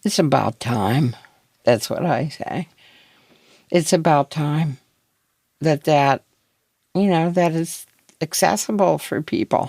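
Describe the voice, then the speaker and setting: In a very slow, dark and mellow delivery with long, frequent pauses, a woman with an American accent speaks at a very deep, low pitch, her lively intonation touched by vocal fry, in a dry, close sound with no echo. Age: 60s. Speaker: former pot brownie baker. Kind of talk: interview.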